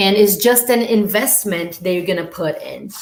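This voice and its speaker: A woman with a Brazilian Portuguese accent at a moderate pace, in fairly even intonation. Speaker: au pair, former student. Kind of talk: live stream talk. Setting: live stream.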